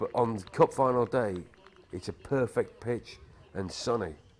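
Speaking with a British accent, a man at medium pitch shows ordinary pitch variation. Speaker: film narrator. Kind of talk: documentary narration, casual monologue.

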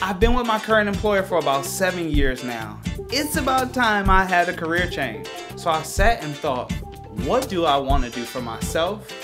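Clear background music behind a man's moderate pace. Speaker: travel agent / vlogger. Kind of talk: casual talk to camera. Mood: earnest, hopeful. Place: home room.

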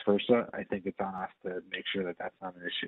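The speech comes at a fairly quick pace in a monotone, flat delivery. The sound is dry with no echo, over a quiet background. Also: man. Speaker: property company representative. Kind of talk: presentation. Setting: video call. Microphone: video call.

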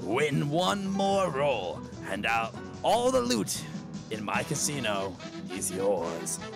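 A man booms in a put-on character voice at a medium pitch. He speaks very slowly over loud background music. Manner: menacing, tempting.

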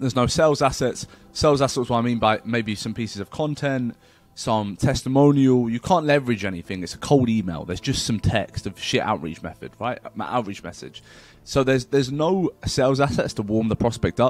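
With lively intonation and a fairly quick pace, a man talks in a dry sound with no echo. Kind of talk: tutorial. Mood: casual, blunt. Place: home room. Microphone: webcam.

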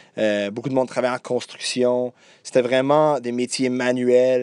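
With an English accent, a man talks at a fairly slow pace and medium pitch against a quiet background. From Quebec, Deux-Montagnes north shore of Montreal, anglophone town. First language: English (speaking French). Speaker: journalist. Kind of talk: interview. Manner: halting, many repetitions and hesitations.

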